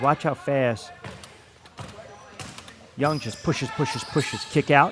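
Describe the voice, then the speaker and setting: A fairly high-pitched man's voice at a moderate pace with fairly even intonation, amid noticeable background noise. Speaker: sports play-by-play announcer; radio host. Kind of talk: live basketball play-by-play commentary.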